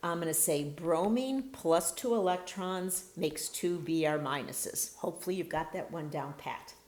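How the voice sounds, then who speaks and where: In a plain, everyday voice, a woman talks at a moderate pace and a fairly low pitch, with hardly any pauses. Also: ordinary pitch variation. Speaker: chemistry instructor. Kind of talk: lecture.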